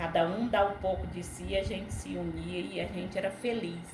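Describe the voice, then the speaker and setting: Audible room echo and noticeable background noise around a woman's fairly slow speech. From Brazil, Ceará (Northeast). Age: 60s. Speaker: interviewee sharing life memories. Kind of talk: casual interview chat.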